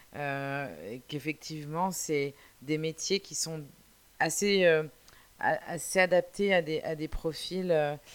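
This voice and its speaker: A woman's very deep, low voice at a very slow pace, with long, frequent pauses, ordinary pitch variation and big swings in loudness. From France, Brittany. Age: 40s. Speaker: podcast host. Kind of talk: solo monologue. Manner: halting.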